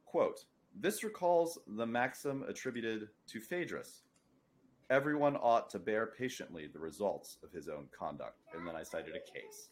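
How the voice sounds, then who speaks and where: A man's voice at a moderate pace with big swings in loudness. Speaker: podcast host. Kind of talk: casual chat.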